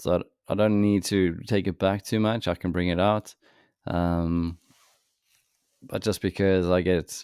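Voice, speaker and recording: A man speaks at a fairly slow pace in a very deep, low voice with monotone, flat intonation, on a very clean recording with a silent background. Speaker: trading educator. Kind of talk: tutorial.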